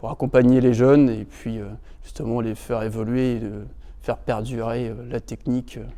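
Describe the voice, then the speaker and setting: This man speaks in a dark, mellow tone at medium pitch, moderate in pace and monotone and flat in intonation. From northern France, Normandy (Rouen). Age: 20s. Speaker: electrical engineering project manager, former apprentice. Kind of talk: interview testimony. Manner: hesitant, many filler sounds.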